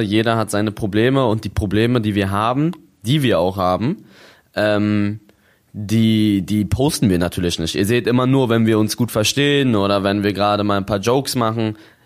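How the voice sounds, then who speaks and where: A man with a normal speaking voice talks at a moderate pace, his fairly low pitch carried by fairly even intonation. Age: 20s. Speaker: YouTuber and streamer. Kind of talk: casual chat.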